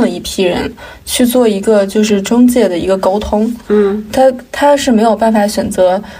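A woman with a fairly high pitch speaks at a moderate pace with fairly even intonation. Audible room echo and noticeable background noise surround her voice. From Inner Mongolia, China. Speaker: podcast co-host. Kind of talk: casual chat.

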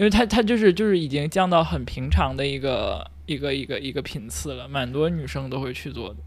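Pauses are hardly present. The speech moves at a fairly quick pace. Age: 30s. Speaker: podcast co-host. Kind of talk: casual chat.

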